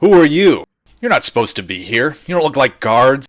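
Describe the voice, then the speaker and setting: A man puts on a character voice with a fairly high pitch. He talks at a fairly quick pace, and his pitch swings very widely. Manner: suspicious, challenging.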